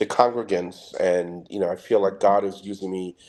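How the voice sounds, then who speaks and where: Here a man is speaking. He has a New York accent. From Trinidad and Tobago, West Indies. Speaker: security specialist. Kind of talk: interview. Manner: fast.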